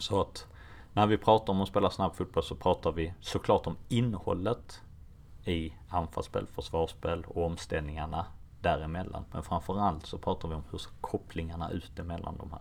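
This man's voice is very deep and low, with ordinary pitch variation, big swings in loudness, and a moderate pace. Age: 30s. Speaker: football coach. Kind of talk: interview.

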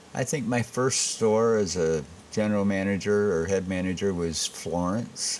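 A man with an American accent talks at a moderate pace in a fairly low pitch, with ordinary pitch variation. His loudness stays very even over noticeable background noise. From Michigan, Saginaw. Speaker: restaurant owner. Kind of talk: casual interview.

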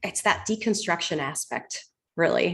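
Using an ordinary speaking voice, a woman speaks at medium pitch with lively intonation. Her pace is fairly slow, in a very clean recording with a silent background. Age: 30s. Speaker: fitness instructor and muscle specialist. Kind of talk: casual interview.

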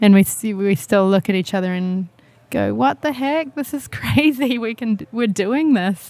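With a New Zealand accent, a woman speaks at a medium pitch, her voice making very wide pitch swings. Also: moderate pace. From New Zealand, Whangarei. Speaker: singer-songwriter. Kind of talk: casual chat. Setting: donut shop and restaurant.

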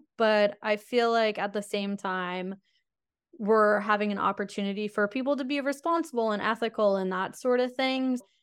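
A woman at a moderate pace, fairly high-pitched, on a very clean recording with a silent background. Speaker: journalist. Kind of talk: interview.

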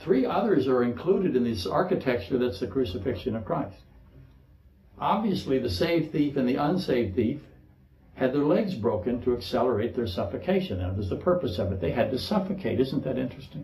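Somewhat breathy with a dark, mellow tone, a man speaks fairly quickly at medium pitch with very wide pitch swings, in audible room echo. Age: 60s. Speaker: pastor. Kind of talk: sermon.

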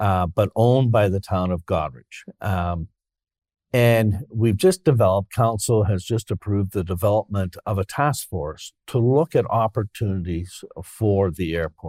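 Speaking at a fairly slow pace with a Canadian accent, this voice has a dark, mellow tone, captured in a very clean recording with a silent background and a dry, close sound with no echo. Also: man, fairly low pitch for a man, ordinary pitch variation. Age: 60s. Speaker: mayor. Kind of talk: interview.

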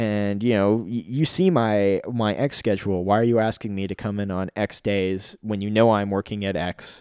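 A man with an unremarkable speaking voice and fairly low pitch talks at a moderate pace with hardly any pauses and fairly even intonation. The recording is very clean, with a silent background. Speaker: solo podcast host. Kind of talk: casual solo monologue.

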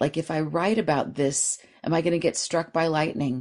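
A woman talks in an animated tone at a moderate pace. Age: 50s. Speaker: dream therapist and author. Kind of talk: interview.

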